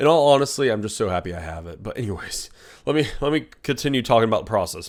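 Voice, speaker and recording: A raspy, put-on character voice at a very fast pace, with big swings in loudness, on a very clean recording with a silent background. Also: man, medium pitch for a man. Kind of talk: comedic storytime vlog. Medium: solo performance. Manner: animated, rambling, self-interrupting.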